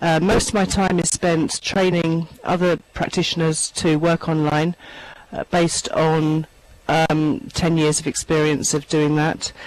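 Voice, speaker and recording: A woman with a London accent speaks at a fairly low pitch and a fairly slow pace, her intonation fairly even. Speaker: online therapy trainer. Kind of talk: panel introduction in online town hall. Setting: virtual meeting.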